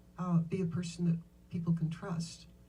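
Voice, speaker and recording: A woman speaks at a moderate pace with a fairly low pitch and a dark, mellow tone. Her intonation is monotone and flat, with vocal fry. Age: 70s. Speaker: businesswoman and author. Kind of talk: interview on stage.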